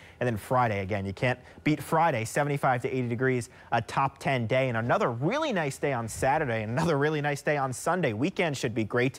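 A man talks at a fairly quick pace in an upbeat tone. His pitch varies in an ordinary way. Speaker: TV weather forecaster. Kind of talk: TV weather forecast. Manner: fluent, upbeat, brisk. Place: studio. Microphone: lapel.

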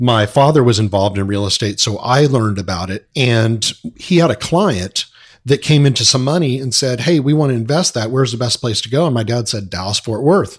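A man speaks with an American accent and ordinary pitch variation, his voice somewhat breathy. The recording is very clean, with a silent background. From Southern California. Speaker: apartment investor. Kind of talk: interview.

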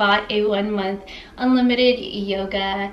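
A woman's flat, monotone delivery in a room with audible echo. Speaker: fashion vlogger. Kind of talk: casual vlog chat. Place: home room. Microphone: camera far.

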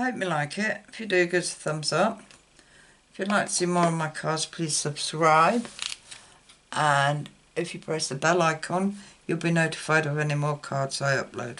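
A woman's fairly low voice in an English accent, at a moderate pace with ordinary pitch variation. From UK. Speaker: card-making YouTuber. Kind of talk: crafting tutorial. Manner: casual, hesitant with fillers.

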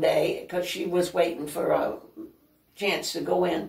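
Against a quiet background, the speech comes at a fairly slow pace with audible room echo. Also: woman. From northern Maine, Aroostook County; Maine. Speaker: senior living resident; interview guest. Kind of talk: casual interview. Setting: at her home. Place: home room. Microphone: camera far.

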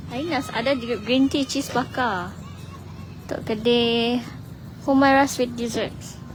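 A woman speaks at a high pitch with fairly even intonation and a very slow pace. Long, frequent pauses break her speech, and noticeable background noise is present. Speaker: live-stream video presenter. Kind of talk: live walkabout vlog. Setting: outdoors at a public square at night. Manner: casual, chatty with laughter.

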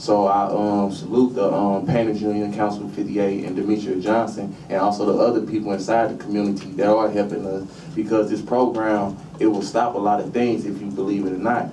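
Over noticeable background noise, a man speaks fairly quickly at a fairly low pitch with fairly even intonation. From North St. Louis, Missouri. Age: 20s. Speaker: job training trainee. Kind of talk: public testimony. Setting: legislative committee hearing. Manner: casual, hesitant. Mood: earnest, slightly nervous. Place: meeting room.

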